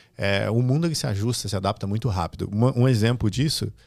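A man has a fairly low, dark, mellow tone with ordinary pitch variation. The recording is very clean, with a silent background. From Brazil, Rio Grande do Sul (Santa Cruz do Sul). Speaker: digital platform executive. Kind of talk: interview.

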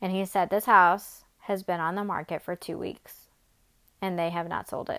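The recording is very clean, dry and close, with a silent background and no echo. A woman speaks at a medium pitch with monotone, flat intonation. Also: moderate pace. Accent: American. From Atlanta, US South. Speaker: podcast host. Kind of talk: casual monologue.

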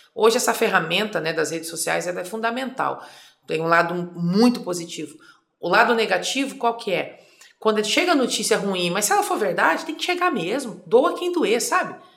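A woman with a fairly high pitch makes very wide pitch swings, with audible room echo around her. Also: moderate pace. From Mato Grosso do Sul, Brazil (rural district, then Campo Grande). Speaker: politician, former federal deputy. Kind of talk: interview.

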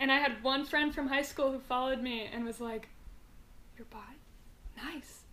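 A woman with an American accent speaks at a moderate pace in a high voice, with fairly even intonation, big swings in loudness and long, frequent pauses. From US West Coast, Mountain View, California. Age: 20s. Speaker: podcast guest. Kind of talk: casual chat.

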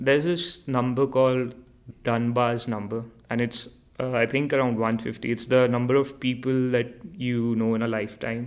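Speaking at a moderate pace, a man keeps a medium pitch with monotone, flat intonation. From India. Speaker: international student. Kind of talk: casual chat.

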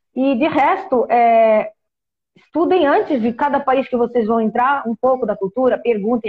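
A somewhat breathy woman's voice with ordinary pitch variation and a moderate pace. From Portugal. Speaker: travel content creator living abroad. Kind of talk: casual interview on a live stream.

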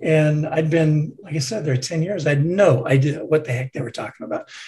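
A man's normal speaking voice, fairly high in pitch, with ordinary pitch variation. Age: 60s. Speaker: retired tech executive and board member. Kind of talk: interview.

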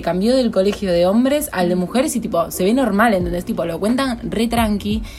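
Noticeable background noise sits behind a woman's voice. She speaks at a fairly quick pace with lively intonation. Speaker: podcast co-host. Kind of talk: casual chat.

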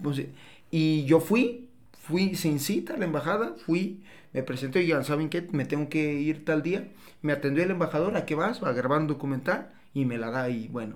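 In an ordinary speaking voice, a man with a fairly high pitch talks at a moderate pace, his intonation lively. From Mexico, Tepatitlán, Jalisco. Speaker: business consultant. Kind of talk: casual chat. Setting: studio.

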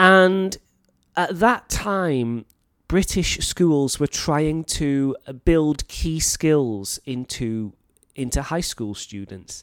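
Speaking at a very slow pace, a man with a Welsh accent uses a fairly high voice and lively intonation, with a dry, close sound and no echo. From North Wales. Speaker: teacher and podcast host. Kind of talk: educational monologue podcast. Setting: teaching in Thailand.

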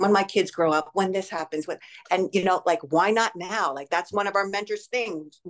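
A woman with a New Jersey accent speaks at a medium pitch. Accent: American (New Jersey). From grew up in Canada, Spain and the US from seventh grade. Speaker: life coach and fitness studio owner. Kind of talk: interview about recovery from addiction. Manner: animated.

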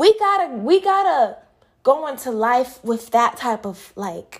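A woman talks at a fairly slow pace in an animated tone. Her pitch swings very widely. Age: 20s. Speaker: podcast host and dance instructor. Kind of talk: casual solo podcast monologue.

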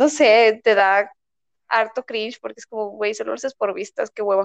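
At a moderate pace, a woman speaks with a fairly high pitch in a dry, close sound with no echo. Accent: Mexican. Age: 20s. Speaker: university student. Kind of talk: casual chat.

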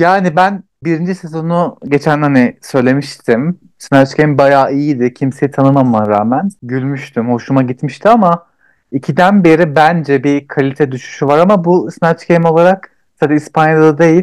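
A man with a plain, everyday voice and a fairly high pitch talks at a moderate pace with ordinary pitch variation and very even loudness, the sound dry and close with no echo over a quiet background. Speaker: podcast co-host. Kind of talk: casual chat.

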